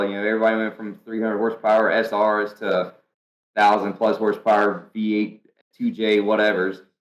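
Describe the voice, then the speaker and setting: Speaking at a fairly quick pace, a man uses a medium pitch with a North Carolina accent. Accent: Southern US, North Carolina. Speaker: professional drifter. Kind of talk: podcast interview answer. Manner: casual, storytelling.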